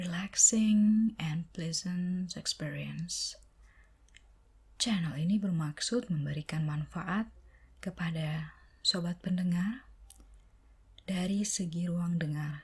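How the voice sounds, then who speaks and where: The speaker is soft-spoken and talks at a very slow pace. Long pauses come often. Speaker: ASMR content creator. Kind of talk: ASMR soft-spoken channel introduction to camera.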